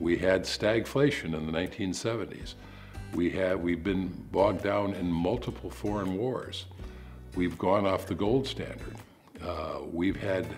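Over faint music in the background, a man with a very deep, low pitch speaks at a fairly slow pace with ordinary pitch variation. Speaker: interviewee. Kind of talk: interview answer. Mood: calm, reflective, confident. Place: home room.

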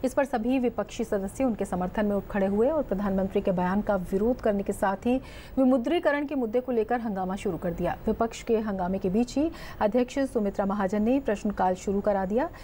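A woman's dark, mellow voice with ordinary pitch variation over light background noise. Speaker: news anchor. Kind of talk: news reading. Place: studio. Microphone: lapel.

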